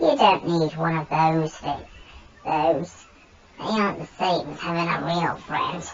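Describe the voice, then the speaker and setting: Using a put-on character voice, a woman speaks at a fairly low pitch and a fairly slow pace. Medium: read story. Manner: coaxing, friendly but manipulative.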